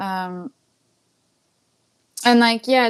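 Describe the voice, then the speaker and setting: A woman with a French accent and ordinary pitch variation, in a very clean recording with a silent background. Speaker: singer-songwriter. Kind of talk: casual chat. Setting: livestream. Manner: halting.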